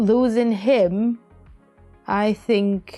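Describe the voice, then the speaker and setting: A woman's shaky, fairly high voice at a very slow pace, with ordinary pitch variation and music in the background. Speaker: podcast co-host. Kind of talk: emotional personal talk about grief. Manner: shaky, emotional.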